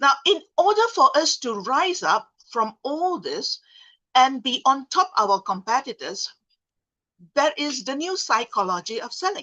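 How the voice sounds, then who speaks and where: A woman's high, raised, projected voice with a bright, sharp tone and very wide pitch swings, dry and close with no echo, over a quiet background. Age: 60s. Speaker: sales trainer. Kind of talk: seminar talk.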